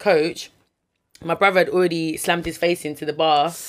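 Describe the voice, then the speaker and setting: A woman talks with a South London accent at a moderate pace. Her fairly low voice stays monotone and flat. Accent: South London multicultural English. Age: 20s. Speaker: chef and food entrepreneur. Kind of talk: casual chat.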